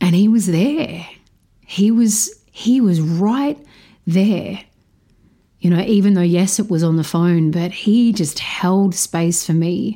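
A woman speaks very slowly at a medium pitch. Her loudness stays very even, and her pitch varies in an ordinary way. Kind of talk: personal testimony. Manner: halting, with fillers.

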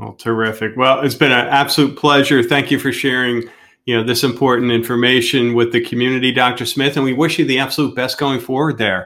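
On a very clean recording with a silent background, a man with a medium pitch and a bright, sharp tone talks at a fairly quick pace in a monotone, flat intonation with hardly any pauses. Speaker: podcast host. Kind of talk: casual interview.

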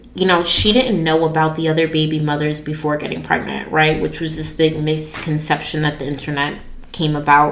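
This woman's voice sits very deep and low, moving at a moderate pace with hardly any pauses, while noticeable background noise and audible room echo fill the recording. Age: 20s. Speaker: podcast host. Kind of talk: casual solo talk.

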